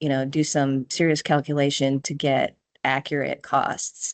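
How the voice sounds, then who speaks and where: With a Minnesotan accent and a very deep, low pitch, a woman speaks at a moderate pace in a quiet background. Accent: Minnesota. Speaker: software consultant. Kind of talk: tutorial. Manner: casual, hesitant with fillers.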